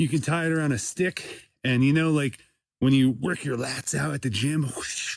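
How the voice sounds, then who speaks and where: Here a man has an ordinary speaking voice, with ordinary pitch variation and a moderate pace. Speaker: comedian, podcast host. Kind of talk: casual talk to camera while hunting. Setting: outdoors, in the woods.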